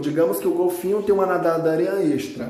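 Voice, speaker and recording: A man is speaking in a space with audible room echo. Noticeable background noise is also present. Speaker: biology teacher. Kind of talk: recorded lesson. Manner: fast.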